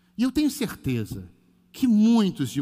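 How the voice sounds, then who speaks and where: His pitch swings very widely as the man delivers his words at a fairly slow pace. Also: very clean recording, silent background. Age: 50s. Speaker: pastor. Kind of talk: sermon. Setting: church livestream.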